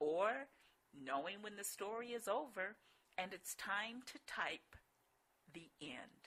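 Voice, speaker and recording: With an American accent and a bright, sharp tone, a woman speaks at medium pitch and a very slow pace, using lively intonation, big swings in loudness and long, frequent pauses. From US Midwest. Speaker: life coach and author. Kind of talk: webinar presentation. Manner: animated.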